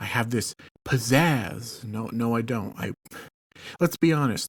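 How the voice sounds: In an ordinary speaking voice, a man talks fairly slowly at a medium pitch with ordinary pitch variation, the sound dry and close with no echo.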